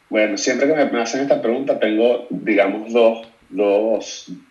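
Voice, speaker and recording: A man at a medium pitch and a fairly slow pace, with audible room echo. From Venezuela, Caracas. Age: 30s. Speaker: photographer. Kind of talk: casual chat.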